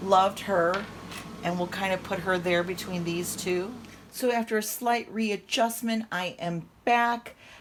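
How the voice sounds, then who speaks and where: Noticeable background noise runs under a woman's medium-pitched voice. She speaks at a fairly slow pace with fairly even intonation. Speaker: doll collector vlogger. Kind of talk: casual show-and-tell vlog. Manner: casual with frequent fillers.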